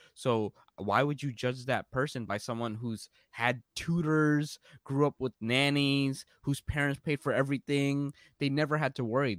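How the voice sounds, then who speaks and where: On a very clean recording with a silent background, a man with a New York accent speaks at a moderate pace and a fairly high pitch, with fairly even intonation and a dry, close sound with no echo. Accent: New York American. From New York, US (born in Bangladesh, moved at three). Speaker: entrepreneur and career coach. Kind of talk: casual interview.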